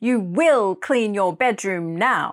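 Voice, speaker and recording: Someone puts on a character voice with a stern tone. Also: woman. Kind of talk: authoritative. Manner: stern, commanding.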